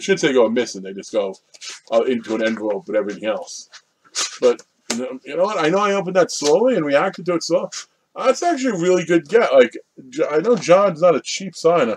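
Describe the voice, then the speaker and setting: A high-pitched man at a fairly quick pace, with very wide pitch swings and light background noise. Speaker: collector vlogger. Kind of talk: casual vlog chat. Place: home room. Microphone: webcam.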